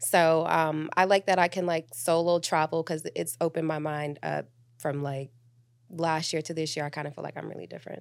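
On a very clean recording with a silent background, a woman with a very deep, low pitch speaks at a fairly quick pace in a flat monotone. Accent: American. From US South (Miami and Atlanta). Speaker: travel nurse and real estate investor. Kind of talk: casual chat.

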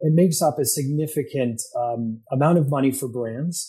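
A man with an American accent has a somewhat breathy, dark, mellow tone at medium pitch with ordinary pitch variation. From upstate New York. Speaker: media executive and Air Force veteran. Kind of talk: interview. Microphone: echo.

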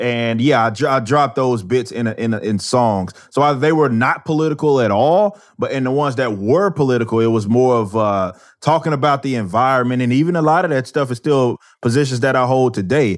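Against a quiet background, a man with an American accent uses an unremarkable speaking voice, a medium pitch with ordinary variation and a fairly quick pace. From Texas, Dallas. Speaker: musician and commentator. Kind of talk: interview. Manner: casual, with frequent repetitions.

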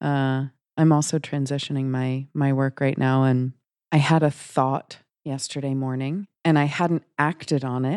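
A woman speaks fairly slowly with a very deep, low pitch and a dark, mellow tone. The sound is dry and close with no echo, a very clean recording over a silent background. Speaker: podcast co-host. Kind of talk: casual interview conversation. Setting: guest's home practice.

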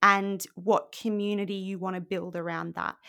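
This woman has an Australian accent and a bright, sharp tone. She speaks at medium pitch and a moderate pace. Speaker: podcaster and blog coach, former journalist. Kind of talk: casual interview chat. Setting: remote call. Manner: animated.

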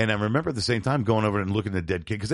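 There's a man with a fairly low pitch and an American accent against a quiet background. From US, New York and Florida. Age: 50s. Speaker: podcast co-host, punk musician. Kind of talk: casual chat.

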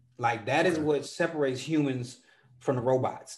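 In a room with audible echo, a man talks at a fairly quick pace with fairly even intonation. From Chicago. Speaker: poet. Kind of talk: interview. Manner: casual, frequent fillers.

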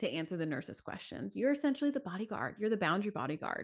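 Using a medium pitch with very wide swings and vocal fry, a woman talks at a very fast pace. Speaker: childbirth educator and postpartum support guest. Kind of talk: casual interview chat. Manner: fast talker; animated.

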